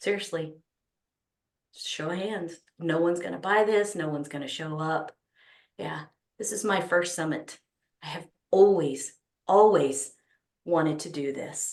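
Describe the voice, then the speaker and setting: At a moderate pace, a woman with a Texas accent speaks in a fairly low pitch with ordinary pitch variation. Her loudness swings widely, and her pauses are long and frequent. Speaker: summit organizer, speaker addressing an audience. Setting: stage.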